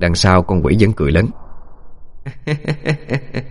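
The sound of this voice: This is an unforced reading voice. It is used throughout the clip.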